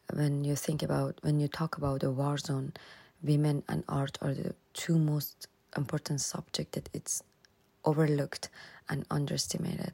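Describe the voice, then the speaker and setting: With a Persian accent and a very deep, low pitch, a woman speaks at a moderate pace, her voice dry and close with no echo on a very clean recording with a silent background. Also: long, frequent pauses. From Iran (Tehran), Afghan roots. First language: Persian (Dari/Farsi). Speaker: photographer and women's rights activist. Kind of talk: recorded voice-clip interview answers. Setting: self-recorded voice clips. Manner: halting, with repetitions and fillers.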